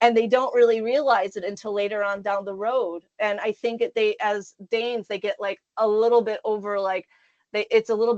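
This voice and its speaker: With an American accent, a woman speaks at a fairly high pitch with fairly even intonation. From US Midwest, Michigan. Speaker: career consultant. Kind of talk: interview. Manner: loud.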